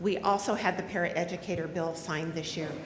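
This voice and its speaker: Noticeable background noise and audible room echo around a woman's voice. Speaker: union president. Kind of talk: convention speech. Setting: stage with audience. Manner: loud; animated.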